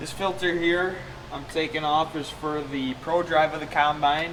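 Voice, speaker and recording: A man's fairly high voice, flat and monotone at a fairly slow pace, with audible room echo and noticeable background noise. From US Midwest, southwest Minnesota. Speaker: farmer and video blogger. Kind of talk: tutorial vlog narration. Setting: farm shop.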